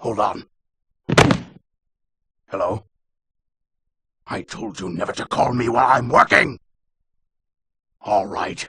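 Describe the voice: Slow and broken by long, frequent pauses, a man's put-on character voice sits at medium pitch with big pitch swings, a bright, sharp tone, a husky, rough edge and vocal fry.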